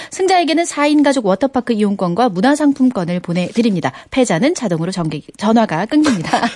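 A woman's fairly high voice with very wide pitch swings, a fairly quick pace and hardly any pauses, over noticeable background noise. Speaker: former sports broadcaster, guest DJ. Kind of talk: casual radio chat. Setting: radio studio.

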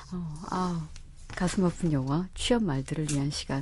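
A woman's very deep, low voice, dark and mellow, somewhat breathy, at a moderate pace. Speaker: radio host. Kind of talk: radio show interview and hosting. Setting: studio.

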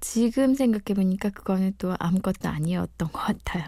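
A woman's dark, mellow tone comes through a very clean recording over total silence. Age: 40s. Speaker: mother of three, former amateur radio DJ. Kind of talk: interview testimony.

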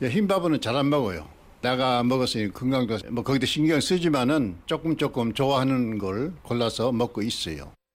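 A man at medium pitch with lively intonation. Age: 80s+. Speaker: elderly interviewee, retiree. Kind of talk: recorded interview.

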